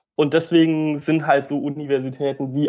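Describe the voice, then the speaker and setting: A man's voice sits fairly high in pitch and has a dark, mellow tone. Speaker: medical student. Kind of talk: casual interview.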